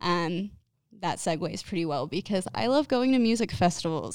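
A woman with an American accent speaks at a medium pitch. The recording is very clean, with a silent background. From northern Utah, US. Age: 20s. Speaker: podcast host. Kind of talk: casual monologue. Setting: home recording setup.

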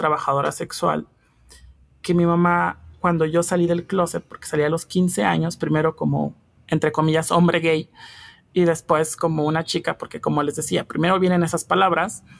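Speaking at a moderate pace, a woman uses an ordinary speaking voice at a fairly low pitch. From Mexico, Hidalgo. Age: 20s. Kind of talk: interview. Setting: remote recording.

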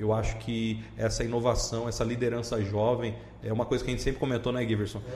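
Words come at a very fast pace in monotone, flat intonation, with noticeable background noise and audible room echo. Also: man, medium pitch for a man. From Brazil, Cuiabá (Mato Grosso). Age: 30s. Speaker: regional manager of a small-business support agency. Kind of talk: podcast interview.

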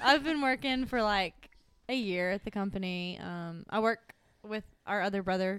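The speaker is a woman with a Southern US accent. Her pitch sits in the medium range. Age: 20s. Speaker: accountant. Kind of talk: casual chat. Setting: at home.

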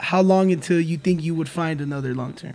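Ordinary pitch variation from a male speaker, with noticeable background noise. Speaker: podcast host. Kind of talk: casual chat. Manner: animated.

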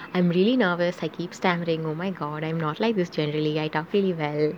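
A woman talks at a very fast pace in a fairly low pitch. Noticeable background noise runs behind her. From South Asia. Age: young. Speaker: podcaster. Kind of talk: casual monologue. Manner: halting.

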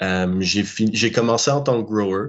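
A man talks in an ordinary speaking voice. His pitch is fairly low, with ordinary pitch variation. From Quebec. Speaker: cannabis grower. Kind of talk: interview. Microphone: laggy connection.

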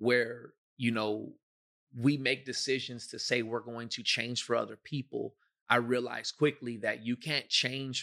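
A man speaks in a bright, sharp tone with monotone, flat intonation. The recording is very clean, with a silent background. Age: 30s. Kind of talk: testimony and teaching in a faith podcast.

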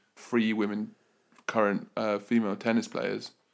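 Here a man speaks with a British accent. His pitch is fairly low and his pace moderate. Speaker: podcast co-host. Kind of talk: casual chat.

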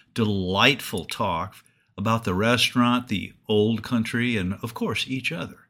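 A natural voice, reading aloud.

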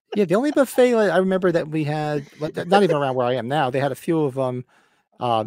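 On a very clean recording with a silent background, a man with a New Jersey accent talks very fast. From Northern New Jersey. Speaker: podcast co-host. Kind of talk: casual chat. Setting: livestream with live chat.

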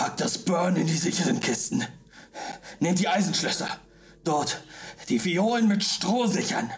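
In a put-on character voice with a middle pitch, the speaker shouts in a guttural way at a moderate pace, leaving long, frequent pauses. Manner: shouting, commanding.

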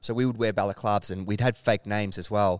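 Speaking at a fairly quick pace, a man with an Australian accent is heard in a dry, close sound with no echo. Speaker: clothing brand founder. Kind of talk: casual interview. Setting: warehouse with tin roof.

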